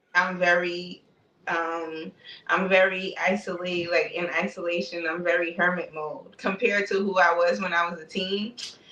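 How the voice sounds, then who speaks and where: Fairly low in pitch, a woman talks with a New York accent and fairly even intonation. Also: moderate pace. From Brooklyn, New York (East Flatbush). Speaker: spiritual content creator. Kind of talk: casual interview chat.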